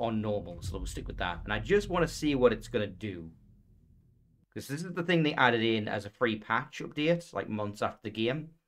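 A man talks at a fairly quick clip. His pitch swings very widely up and down. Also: medium pitch for a man. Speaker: streamer playing a video game. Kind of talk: gameplay commentary. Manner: quiet, not talking much.

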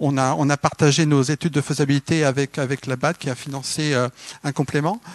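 A man speaks in a normal speaking voice, fairly high-pitched, at a fairly slow pace against a quiet background. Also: dry sound with no echo. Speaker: development agency coordinator; panelist. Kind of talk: panel discussion. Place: hall. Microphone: microphone problems at start, switched mic.

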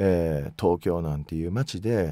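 A man talks in a dark, mellow tone. The sound is dry with no echo, over a quiet background. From Mie Prefecture, Japan (Ise area); Mie Prefecture. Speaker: magazine editor-in-chief; interview guest. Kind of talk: radio interview. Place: booth. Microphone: studio mic.

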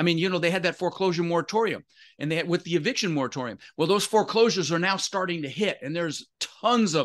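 Against a quiet background, an animated man with an American accent speaks at a very fast pace and high pitch with ordinary pitch variation. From Denver, Colorado. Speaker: real estate investor; podcast guest. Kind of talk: interview. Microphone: webcam.

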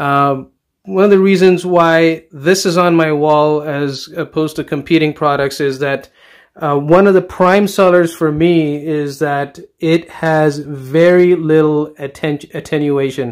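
The man talks fairly slowly and with fairly even intonation, the background quiet around him. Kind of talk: casual product review walkthrough. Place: home room. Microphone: phone near.

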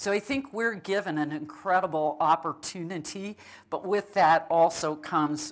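Very slowly and with fairly even intonation, a woman speaks in an American accent. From eastern Montana. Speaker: university president; guest. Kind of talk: onstage interview. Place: hall.

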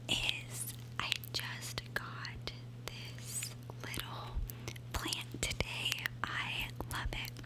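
A woman at a very slow pace, with long, frequent pauses. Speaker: gaming YouTuber trying ASMR. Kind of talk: ASMR whisper and tapping video, casual talk to camera. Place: home room. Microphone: studio mic.

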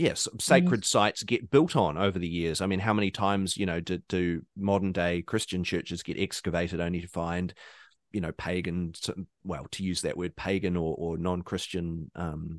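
In a New Zealand accent, a man speaks at a moderate pace with a very deep, low pitch. His intonation is fairly even, and the background is quiet. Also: dry, close sound with no echo. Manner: conversational, hesitant, many fillers.

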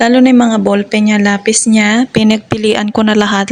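Noticeable background noise sits under a woman with a fairly high voice speaking at a fairly quick pace. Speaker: nanny vlogger. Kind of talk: vlog narration.

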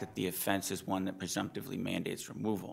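A man speaks at a fairly low pitch. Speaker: defense attorney. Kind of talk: appellate oral argument. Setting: courtroom. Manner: soft-spoken. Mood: earnest, measured. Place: hall. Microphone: podium.

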